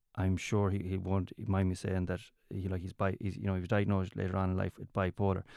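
With a west of Ireland accent, a man speaks at a moderate pace in a very deep, low pitch and a dark, mellow tone. The sound is dry and close with no echo, on a very clean recording with a silent background. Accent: west of Ireland Irish. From Ireland, County Mayo. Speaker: comedian. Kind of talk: casual chat.

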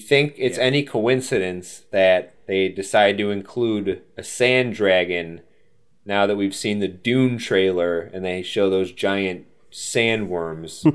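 At a very slow pace, a man speaks in a fairly low voice. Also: ordinary pitch variation. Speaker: podcast host. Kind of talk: casual chat.

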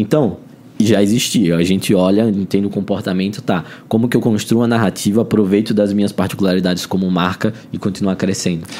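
In a São Paulo accent, the speaker keeps the loudness very even, with ordinary pitch variation. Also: man. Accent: sounds like São Paulo. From Brazil, Alagoas. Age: 20s. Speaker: marketing head. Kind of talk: interview. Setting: event venue.

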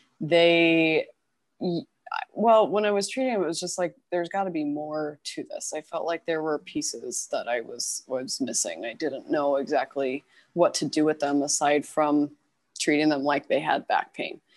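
Against a quiet background, a woman talks at a moderate pace in a very deep, low pitch with ordinary pitch variation. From Kentucky, Louisville. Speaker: pelvic floor physical therapist. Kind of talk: casual interview. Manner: hesitant, many fillers.

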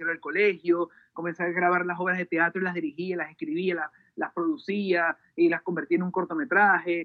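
A man speaks in a high pitch. His tone is energetic. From Venezuela. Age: 30s. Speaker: music video director. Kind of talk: interview. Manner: halting, many repetitions and fillers.

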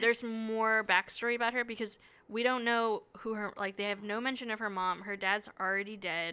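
Speaking at a fairly quick pace, a woman with fairly high pitch and a bright, sharp tone keeps her intonation fairly even. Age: young. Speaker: podcast co-host. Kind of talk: casual chat.

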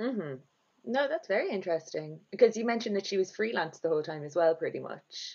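Speaking at a very fast pace in an Irish accent, a woman at medium pitch makes very wide pitch swings and big swings in loudness. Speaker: podcast host. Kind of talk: casual chat, interview.

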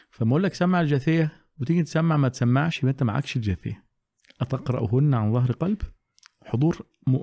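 With a fairly high pitch and a dark, mellow tone, a man speaks at a fairly quick pace in a somewhat breathy voice, showing ordinary pitch variation and very even loudness, the sound dry and close with no echo. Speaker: Quran teacher. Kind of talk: casual chat.

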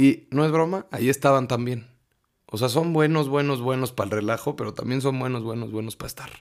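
Speaking at a fairly quick pace, a man with a Mexican accent has an animated tone. His pitch sits in the medium range with ordinary variation. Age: 20s. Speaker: podcast host. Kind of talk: personal monologue.

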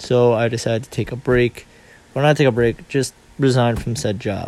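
A man talks with fairly even intonation amid noticeable background noise. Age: 20s. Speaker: podcaster. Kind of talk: casual monologue. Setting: at home. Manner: halting.

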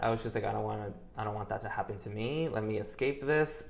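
This man speaks very fast with a fairly low pitch. His voice is somewhat breathy, and his pitch varies in an ordinary way. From New York. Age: 20s. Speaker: interior designer. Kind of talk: casual chat.

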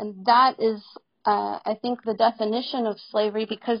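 A woman with an American accent uses a normal speaking voice, fairly high in pitch, at a fairly slow pace. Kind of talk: heated debate.

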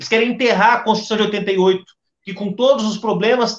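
Speaking at a fairly quick pace, the man has a high pitch. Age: young. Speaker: party president, politician. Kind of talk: political panel debate.

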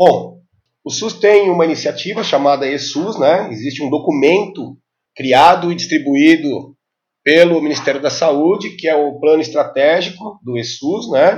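This is a normal speaking voice with ordinary pitch variation, moving at a fairly slow pace. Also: man, fairly high pitch for a man. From Brazil, São Paulo metro area (ABC region). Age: 50s. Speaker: health IT specialist. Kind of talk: podcast interview.

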